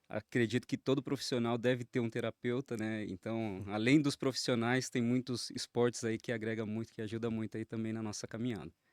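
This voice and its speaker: The delivery is fairly quick, with hardly any pauses and monotone, flat intonation. The sound is dry and close, without echo. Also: man, medium pitch for a man. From Jandira, São Paulo region, Brazil. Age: 30s. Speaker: accountant and pastor. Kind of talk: interview.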